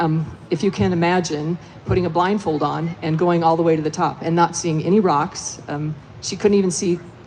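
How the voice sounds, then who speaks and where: Moderate-paced speech from a woman, fairly low in pitch, over noticeable background noise. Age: 60s. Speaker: veteran mountain runner, former overall race winner. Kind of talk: live panel discussion, personal story. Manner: hesitant, many fillers.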